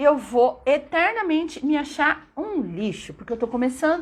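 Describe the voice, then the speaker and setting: A woman with a São Paulo accent speaks at a fairly slow pace in a high, animated voice with very wide pitch swings, over noticeable background noise. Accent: São Paulo Brazilian Portuguese. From São Paulo state, Brazil (São Bernardo). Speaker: English teacher. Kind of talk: live stream talk.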